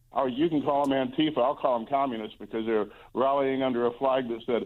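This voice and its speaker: A man talks in a normal speaking voice at a medium pitch. His pace is fairly quick and his intonation fairly even. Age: 60s. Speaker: Senate candidate. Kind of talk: radio interview.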